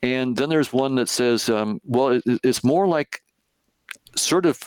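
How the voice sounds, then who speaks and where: The sound is dry and close with no echo as a man with an American accent talks in a normal speaking voice at a medium pitch and a moderate pace. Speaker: cognitive psychologist and professor. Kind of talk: interview, explaining ideas. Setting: video call.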